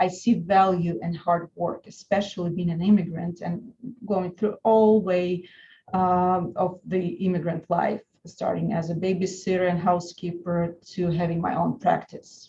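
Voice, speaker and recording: This woman has a Russian accent, a fairly low pitch, and a dark, mellow, somewhat breathy tone. She talks at a fairly slow pace with fairly even intonation. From Russia (Saint Petersburg). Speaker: lawyer. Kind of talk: webinar presentation. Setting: online webinar.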